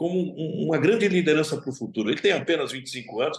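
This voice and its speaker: This man speaks at a very fast pace with lively intonation. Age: 60s. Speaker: football club president. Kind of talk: interview.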